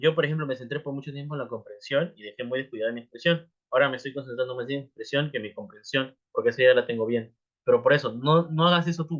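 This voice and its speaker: A man talks at a very fast pace with a fairly high pitch and ordinary pitch variation. His loudness swings widely. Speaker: English teacher. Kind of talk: live class talk. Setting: livestream.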